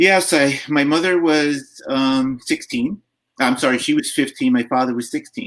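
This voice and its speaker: A man with an American accent and a plain, everyday voice speaks at a moderate pace and a fairly high pitch, using lively intonation. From New York, Long Island. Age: 60s. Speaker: foster care advocate. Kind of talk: interview.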